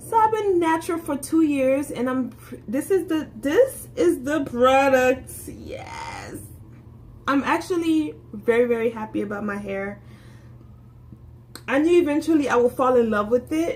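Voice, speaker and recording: Over noticeable background noise, a woman with an American accent speaks at a fairly slow pace in a high pitch, her tone animated and her intonation lively. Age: 20s. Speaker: beauty vlogger. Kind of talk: casual vlog monologue. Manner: halting, many self-corrections.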